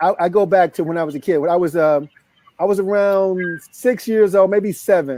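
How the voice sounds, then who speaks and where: Here is a man with a high-pitched voice. His pace is moderate. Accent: American. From US South, Memphis, Tennessee. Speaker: life coach. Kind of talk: interview storytelling.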